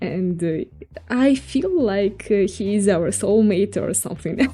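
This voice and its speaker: A woman with a Russian accent, her tone dark and mellow, at a very slow pace in a very clean recording with a silent background. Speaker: VTuber digital artist streamer. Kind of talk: live art stream chat. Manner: halting, repetitive.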